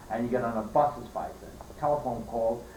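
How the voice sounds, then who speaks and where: This man talks at a moderate pace with a medium pitch and ordinary pitch variation. Room echo is audible, and background noise is noticeable. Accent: New York. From New York, Queens. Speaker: elderly relative telling family history. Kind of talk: family oral history interview. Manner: halting.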